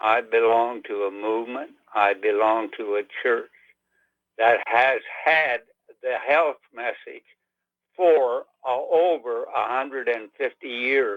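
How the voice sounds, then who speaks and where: Speaking at a very slow pace with long, frequent pauses, a man holds a medium pitch and ordinary pitch variation. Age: 80s+. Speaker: caller. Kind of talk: phone-in comment. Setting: phone call.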